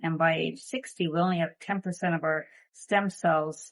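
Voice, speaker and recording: Speaking at a moderate pace with ordinary pitch variation, a woman has an ordinary speaking voice that sits fairly low in pitch. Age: 50s. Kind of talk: product testimonial talk to camera.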